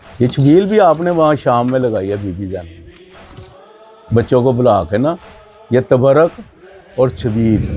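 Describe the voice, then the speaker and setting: Over music in the background, a man with a medium pitch speaks with very wide pitch swings and long, frequent pauses. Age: 70s. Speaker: elder of a mourning procession family. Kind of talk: interview storytelling.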